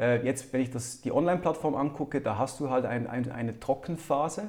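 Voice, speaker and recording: Man with a dark, mellow tone at medium pitch, fairly quick pace and ordinary pitch variation. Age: 30s. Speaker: entrepreneur. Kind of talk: interview.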